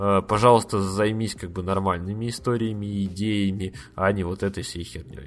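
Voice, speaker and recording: Fairly quick and fairly low-pitched, a man speaks. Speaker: podcast host. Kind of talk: casual solo review monologue. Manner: many filler words; animated.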